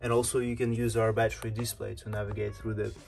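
Faint music plays in the background. A man speaks in a monotone, flat intonation. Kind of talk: tutorial. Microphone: phone near.

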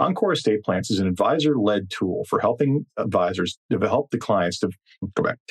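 A man's normal speaking voice at medium pitch, with lively intonation and very even loudness, in a dry, close sound with no echo. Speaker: podcast host. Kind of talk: interview.

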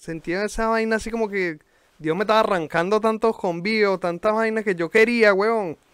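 In a Venezuelan accent, a man talks at a moderate pace with ordinary pitch variation, the sound dry with no echo and the background quiet. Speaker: podcast host and rapper; podcast host. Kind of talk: casual chat. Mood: reflective, candid about prison. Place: home room. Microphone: video call.

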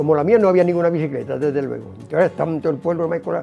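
A man's fairly high voice with an Andalusian accent, at a very fast pace over faint background music. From Málaga, Andalusia. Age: 80s+. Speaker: veteran amateur cyclist, carpenter. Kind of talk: interview answer. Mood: warm, proud. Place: home room.

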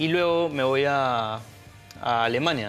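A man speaks with faint music in the background. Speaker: guest. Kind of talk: interview answer. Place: studio. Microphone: lapel.

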